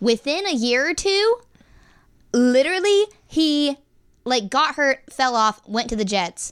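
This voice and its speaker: In a very clean, dry and close recording with no echo and a silent background, a woman speaks in an animated tone with very wide pitch swings. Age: 20s. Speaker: student podcast host. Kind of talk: casual chat.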